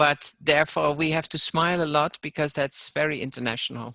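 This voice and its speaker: With vocal fry and a bright, sharp tone, a woman speaks at a very deep, low pitch, at a moderate pace with fairly even intonation, in a dry, close recording with no echo. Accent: non-native. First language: not English. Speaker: online course facilitator. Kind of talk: webinar discussion.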